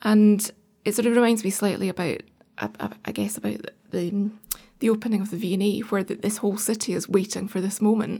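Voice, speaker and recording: A woman with a Scottish accent talks at a fairly quick pace in a medium-pitched, dark, mellow voice with vocal fry and monotone, flat intonation. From Scotland, Edinburgh. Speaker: arts organisation director. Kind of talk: casual interview.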